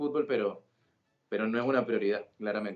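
A man speaking at a medium pitch. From Colombia, Sincelejo, Sucre (Caribbean coast). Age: 20s. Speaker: football commentator. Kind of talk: casual interview.

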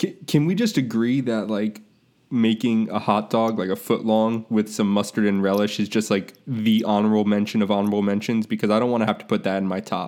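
A man's fairly low, unremarkable speaking voice with an American accent, fairly quick, with fairly even intonation. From Florida, Tampa. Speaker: sports podcast host. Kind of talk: casual chat. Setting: remote recording over computer.

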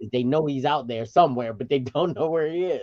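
Lively intonation in a man's fairly high voice. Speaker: parent. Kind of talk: casual chat. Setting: video call. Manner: loud.

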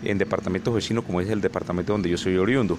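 A man talks against noticeable background noise. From Colombian Caribbean (Sierra Nevada de Santa Marta / Valledupar). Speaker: social leader. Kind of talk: research interview. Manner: hesitant, many fillers.

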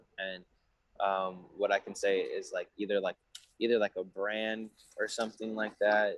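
Speaking with a Southern Californian accent, a man keeps a moderate pace broken by long, frequent pauses. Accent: Southern California American. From San Diego, California. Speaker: rapper. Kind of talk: casual interview. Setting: video call.

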